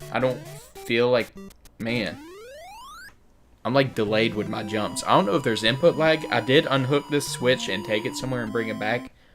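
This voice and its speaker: Music plays in the background as a man with a medium-pitched voice and ordinary pitch variation speaks at a fairly quick pace. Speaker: gaming youtuber. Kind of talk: let's play commentary. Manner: casual, conversational.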